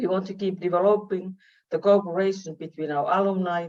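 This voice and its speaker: A woman's fairly low voice, dark and mellow in tone, in a Finnish accent. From Finland. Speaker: university vice-rector and professor. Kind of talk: welcome speech. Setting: online video meeting.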